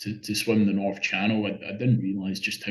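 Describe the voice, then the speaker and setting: With a Scottish accent, a man talks at a fairly low pitch in a monotone, flat intonation. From Scotland. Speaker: open-water swimmer. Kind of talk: interview. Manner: halting, many repeated words.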